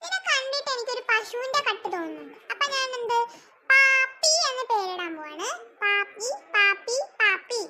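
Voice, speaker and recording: A woman does a squeaky, cartoonish character voice at an extremely high pitch. She talks at a fairly slow pace with ordinary pitch variation. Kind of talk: comic cartoon overacting. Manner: scolding, complaining.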